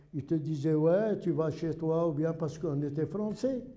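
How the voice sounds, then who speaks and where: Lively in intonation, a man speaks at a moderate pace with a high pitch and a dark, mellow tone. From Algeria. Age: 70s. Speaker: retired immigrant resident. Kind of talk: documentary interview. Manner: halting.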